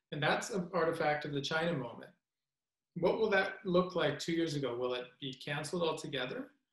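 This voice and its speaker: Speaking fairly quickly with a Canadian accent, a man uses a fairly high pitch with ordinary variation in a quiet background with audible room echo. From Western Canada. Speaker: history professor. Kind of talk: panel discussion. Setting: video call. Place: home room. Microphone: webcam.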